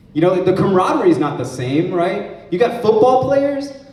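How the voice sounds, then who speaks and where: A man's voice with very wide pitch swings, a moderate pace and audible room echo. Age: 40s. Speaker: stand-up comedy student. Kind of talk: stand-up. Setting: stage with audience.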